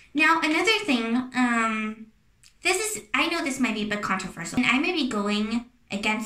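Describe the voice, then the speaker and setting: A woman with a non-native accent, very wide pitch swings and a bright, sharp tone. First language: not English. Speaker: YouTuber. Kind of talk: casual advice talk to camera. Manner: hesitant, many fillers and restarts.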